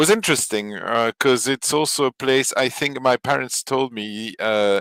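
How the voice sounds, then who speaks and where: A man with a French accent at a medium pitch and moderate pace, ordinary pitch variation, dry, close sound with no echo, and a very clean recording with a silent background. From Belgium, Flemish area, French-speaking family. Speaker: podcast guest. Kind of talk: casual chat. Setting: live stream. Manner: hesitant, many fillers.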